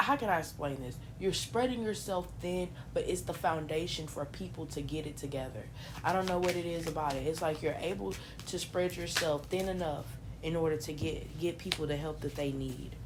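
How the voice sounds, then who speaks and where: Audible room echo around a woman's fairly quick speech. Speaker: tarot reader. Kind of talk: tarot reading. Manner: casual.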